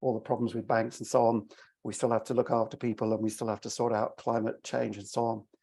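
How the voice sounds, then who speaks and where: With an English accent, a man speaks at medium pitch in a monotone, flat intonation. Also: very clean recording, silent background. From England, London. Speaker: venture investor. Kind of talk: panel introduction.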